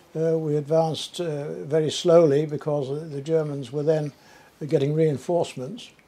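With a Cumbrian accent, a man speaks in a dark, mellow tone. His pitch is fairly high and his pace moderate. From Carlisle, England. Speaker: war veteran. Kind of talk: interview answer. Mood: reflective, recalling memories. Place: home room.

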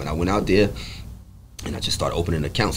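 Speaking at a very fast pace, a man with a New York accent has a very deep, low pitch, with light background noise behind him. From New York, the Bronx. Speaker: podcast guest, apparel sales rep. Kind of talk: casual interview. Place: shop. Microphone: studio mic.

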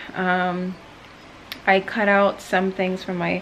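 Very slow pace from a woman, over light background noise. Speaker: fitness vlogger. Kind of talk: casual vlog chat. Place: home room. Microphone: phone near.

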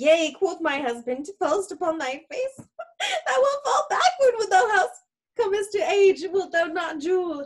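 A woman's put-on character voice, extremely high in pitch, with big pitch swings and a fairly slow pace.

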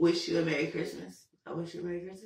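Vocal fry in a woman's voice, with audible room echo.

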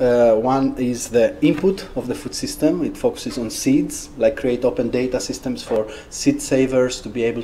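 Over light background noise, the man keeps a moderate pace. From Greece. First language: Greek. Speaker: researcher and social entrepreneur. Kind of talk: talk with questions. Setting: seminar room with audience. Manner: halting. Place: classroom.

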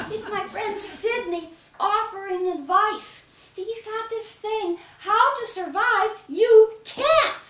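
A woman puts on an extremely high-pitched character voice at a fairly slow pace. There is a slight echo. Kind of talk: solo comedy stage performance.

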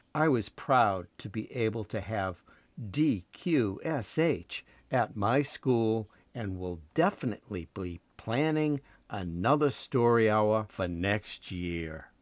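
This man talks at a very slow pace with lively intonation. The recording is very clean, with a silent background. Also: fairly low pitch for a man. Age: 70s. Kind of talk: scripted monologue. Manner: formal.

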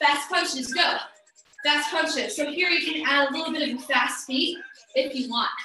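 A woman's raised, projected voice over clear background music, with audible room echo. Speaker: fitness instructor. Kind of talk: workout class instruction. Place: home room. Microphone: camera far.

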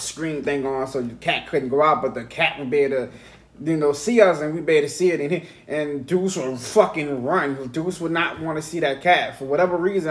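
Fairly quick talk from a man, pitch varying in an ordinary way. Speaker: podcast host. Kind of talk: casual podcast storytelling. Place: home room. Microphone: studio mic.

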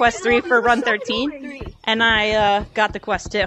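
A woman talks in a playful, upbeat tone over noticeable background noise, the sound dry with no echo. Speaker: gaming streamer. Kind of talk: casual gaming chat. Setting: online game voice chat. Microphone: headset.

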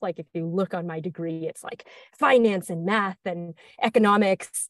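Against a quiet background, with dry sound and no echo, a woman speaks in a fairly low pitch at a moderate pace with ordinary pitch variation. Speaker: guest. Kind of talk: interview answer. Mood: friendly, smiling. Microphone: earbuds.

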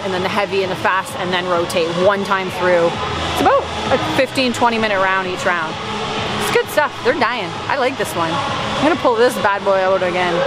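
A woman talks at a moderate pace with ordinary pitch variation, in a dry sound with no echo and clear music in the background. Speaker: fitness instructor. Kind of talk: casual vlog chat. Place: gym. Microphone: headset.

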